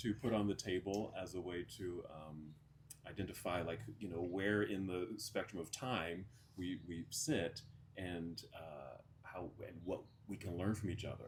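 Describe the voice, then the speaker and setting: A somewhat breathy man with a very deep, low pitch, speaking at a moderate pace. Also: ordinary pitch variation. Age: 50s. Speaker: podcast host. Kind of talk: casual chat.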